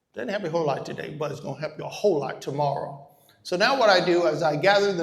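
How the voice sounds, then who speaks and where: Noticeable background noise sits under a man speaking at a very fast pace. His pitch is high, with ordinary variation. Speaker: real estate investor and educator. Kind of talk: live workshop presentation.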